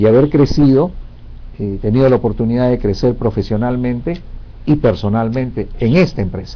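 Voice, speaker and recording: A man talks at a moderate pace in an unremarkable speaking voice. His pitch is medium, with ordinary pitch variation. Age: 60s. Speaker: career advisor. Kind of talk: interview Q&A advice.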